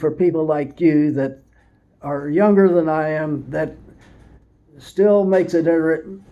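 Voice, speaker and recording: Pausing long and often, a man speaks at a fairly slow pace with a fairly high pitch, ordinary pitch variation and a dark, mellow tone, in audible room echo. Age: 80s+. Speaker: retired race car driver. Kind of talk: casual chat. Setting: garage. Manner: halting.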